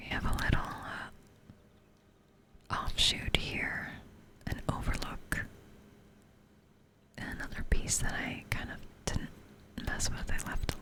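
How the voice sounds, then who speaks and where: A woman whispering at a fairly slow pace, with long, frequent pauses, big swings in loudness and noticeable background noise. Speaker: ASMR gaming content creator. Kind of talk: casual gaming tour in ASMR style. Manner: whispered, soft-spoken.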